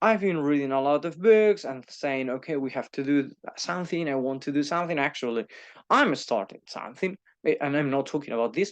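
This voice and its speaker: In a Spanish accent, a man talks at a fairly quick pace with a fairly high pitch and lively intonation. The background is quiet. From Spain. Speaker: YouTuber and teacher. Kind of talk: casual monologue. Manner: halting, many fillers and repeats.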